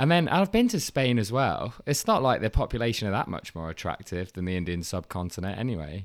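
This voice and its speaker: Very wide pitch swings mark this man's fairly low voice. He talks at a fairly quick pace with hardly any pauses, on a very clean recording with a silent background. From England, Leicester. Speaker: podcast guest. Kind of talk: casual chat.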